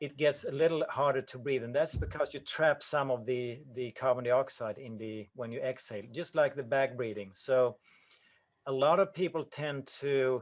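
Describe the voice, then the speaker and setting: A man's medium-pitched voice with a Swedish accent, a moderate pace, ordinary pitch variation and big swings in loudness. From Sweden. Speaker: breathing coach. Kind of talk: Q&A answers at an online conference. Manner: halting, with self-corrections.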